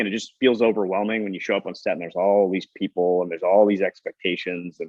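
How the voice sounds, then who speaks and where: This is a man speaking. His pace is fairly quick. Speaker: film producer. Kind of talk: interview conversation.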